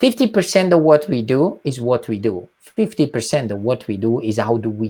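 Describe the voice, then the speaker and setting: With an Italian accent, a man with a medium-pitched, dark, mellow tone speaks at a moderate pace with lively intonation, big swings in loudness, and hardly any pauses. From southern Italy, Calabria. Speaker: nonprofit executive. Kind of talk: interview.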